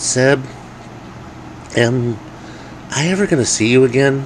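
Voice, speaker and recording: Over clear background noise, a man uses a put-on character voice at a medium pitch and a moderate pace. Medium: read story.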